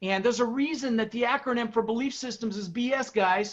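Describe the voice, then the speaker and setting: There is noticeable background noise as a man talks at a very fast pace. His pitch varies in an ordinary way. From Denver, Colorado. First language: Dutch. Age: 60s. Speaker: real estate investor and coach. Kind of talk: motivational talk. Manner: animated.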